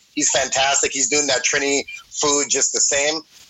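Noticeable background noise runs behind the voice. A man speaks at a medium pitch. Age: 30s. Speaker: rapper and cook. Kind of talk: casual chat. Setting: phone call.

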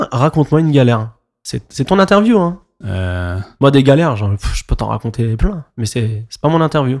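Delivery moves at a moderate speed. The voice rises and falls across a very wide pitch range. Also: man, medium pitch for a man. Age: 30s. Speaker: podcast host and DJ. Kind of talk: casual interview. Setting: club venue.

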